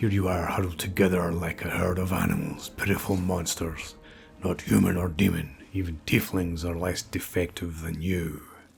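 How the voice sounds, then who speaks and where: Using a put-on character voice with a very deep, low pitch, a man speaks at a moderate pace over clear background noise. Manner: contemptuous, menacing.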